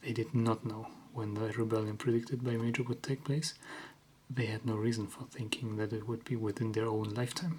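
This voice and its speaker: Somewhat breathy, a man whispers at a fairly quick pace. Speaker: ASMR creator. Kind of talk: ASMR book reading. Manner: whispered.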